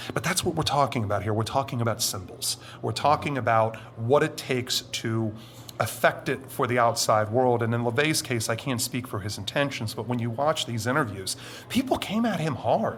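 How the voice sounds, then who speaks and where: This is a normal speaking voice from a man at medium pitch. He talks at a fairly quick pace with ordinary pitch variation. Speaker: anonymous witness, former military, Satanist. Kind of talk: interview testimony.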